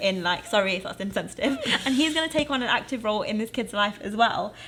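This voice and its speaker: Noticeable background noise sits under speech at a very fast pace with ordinary pitch variation. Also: woman. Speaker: podcast co-host. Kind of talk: casual chat.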